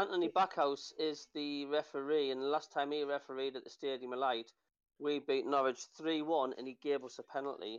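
A man with a Sunderland accent, fairly high in pitch, at a fairly quick pace with fairly even intonation. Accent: Mackem (Sunderland). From Sunderland, North East England. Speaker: football podcast panelist. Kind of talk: casual chat.

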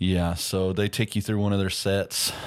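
A man speaks at a moderate pace. His very deep, low voice stays monotone and flat. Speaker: podcast host. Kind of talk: casual movie review chat. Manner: casual, filler-heavy.

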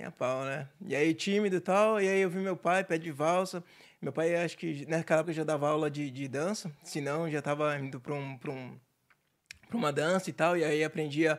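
The recording is very clean, with a silent background. A man with an ordinary speaking voice and fairly high pitch talks at a moderate pace with ordinary pitch variation. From Santos, São Paulo state, Brazil. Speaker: entrepreneur. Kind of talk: casual chat.

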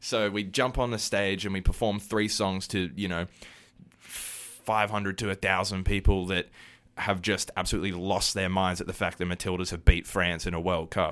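On a very clean recording with a silent background, a man with an Australian accent speaks at a moderate pace in a very deep, low pitch with monotone, flat intonation. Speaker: musician. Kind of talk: casual chat. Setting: studio.

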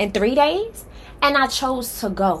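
An animated woman's voice, high in pitch, with very wide pitch swings. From New York City, Harlem. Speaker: life coach and podcast host. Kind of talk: motivational monologue.

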